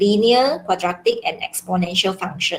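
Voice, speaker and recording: Her voice is somewhat breathy, with a medium pitch, ordinary pitch variation and a moderate pace, as this woman speaks. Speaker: secondary school maths teacher. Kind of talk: online class lecture.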